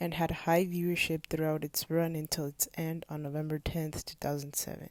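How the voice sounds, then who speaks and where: A woman with a non-native accent speaks at a moderate pace in a very deep, low pitch, her intonation monotone and flat. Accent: non-native English pronunciation. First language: not English. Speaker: video essayist. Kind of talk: video essay narration. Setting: low-quality home recording.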